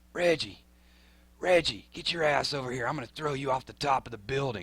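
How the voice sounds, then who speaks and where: In a put-on character voice, a man talks at a fairly quick pace with a hoarse, gravelly sound, medium pitch and ordinary pitch variation. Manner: menacing.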